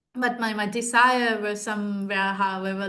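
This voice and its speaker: There is audible room echo as a woman talks at a fairly slow pace in a monotone, flat intonation. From Sri Lanka. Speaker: architecture graduate and art teacher. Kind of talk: interview Q&A. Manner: halting with many fillers.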